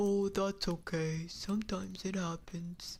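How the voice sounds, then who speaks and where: A woman puts on a character voice at a medium pitch. She speaks at a fairly slow pace. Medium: virtual streamer. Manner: warm, friendly.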